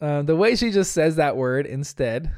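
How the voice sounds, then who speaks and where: An animated voice with lively intonation and an American accent comes through on a very clean recording with a silent background. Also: man. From US, New Jersey. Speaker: podcast host. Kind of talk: episode recap and commentary.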